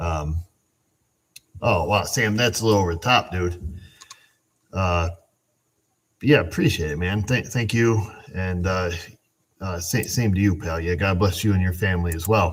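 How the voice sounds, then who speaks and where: A man mumbles in a very deep, low pitch with ordinary pitch variation. His voice is somewhat breathy, moving at a moderate pace with long, frequent pauses. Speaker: auto mechanic hosting a livestream. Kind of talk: casual livestream chat reading comments. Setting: live stream on camera. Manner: mumbling.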